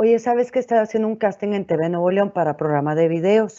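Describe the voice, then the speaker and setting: A woman talks at a moderate pace against a quiet background. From northern Mexico (Monclova, Coahuila); Coahuila, Mexico. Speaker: TV and radio presenter; radio presenter. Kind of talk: webinar panel talk. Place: home room. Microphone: earbuds.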